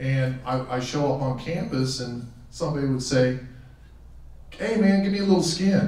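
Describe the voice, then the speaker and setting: Lively intonation at a moderate pace, with long, frequent pauses and audible room echo. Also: man. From Western Pennsylvania, raised in Tucson from teens; Western Pennsylvania. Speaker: hall of fame inductee, former athlete. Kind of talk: acceptance speech; acceptance speech with anecdotes. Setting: auditorium podium with audience. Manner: halting, with frequent fillers and repeats. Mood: warm, reflective, humorous. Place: hall.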